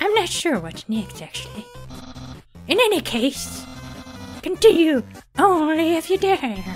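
A man's put-on character voice over faint music in the background. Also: moderate pace. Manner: pompous, loud, excitable.

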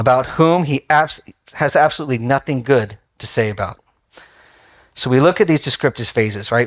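Over a quiet background, a man is talking. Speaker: bible study teacher. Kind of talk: sermon. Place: hall.

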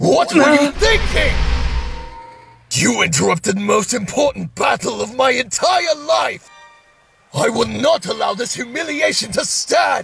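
A man shouting in a cartoonish character voice at an extremely high pitch, over faint music in the background. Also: moderate pace. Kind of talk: anime fandub. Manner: angry, shouting.

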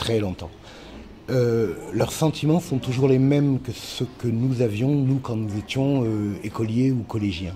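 Speaking at a very slow pace, a man uses ordinary pitch variation over light background noise. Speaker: children's author. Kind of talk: interview. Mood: warm, lightly humorous. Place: classroom.

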